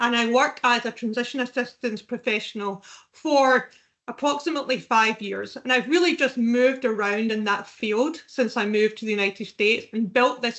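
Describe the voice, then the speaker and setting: With a Scottish accent, a woman with a fairly high pitch talks at a moderate pace and with fairly even intonation. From Scotland. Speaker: veterans recruitment specialist. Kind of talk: podcast interview.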